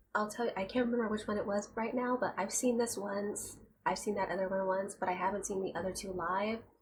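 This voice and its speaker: A woman whispers, soft-spoken, at a very fast pace. There are hardly any pauses. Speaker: youtube reaction reviewer. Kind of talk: casual vlog commentary. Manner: soft-spoken, quiet; near-whisper, ASMR-like.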